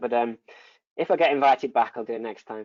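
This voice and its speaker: Speaking at a very fast pace, a man with a northern English accent shows ordinary pitch variation. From northern England. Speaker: neurosurgeon. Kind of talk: lecture Q&A. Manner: halting, many repetitions.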